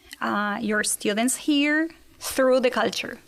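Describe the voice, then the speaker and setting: A woman speaks with a Spanish accent and ordinary pitch variation. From Argentina. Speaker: exchange teacher. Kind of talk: interview.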